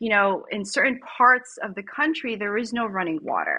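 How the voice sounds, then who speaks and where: Ordinary pitch movement from a woman going at a moderate speed. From United States. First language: Tagalog. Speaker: startup founder and CEO. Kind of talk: podcast interview.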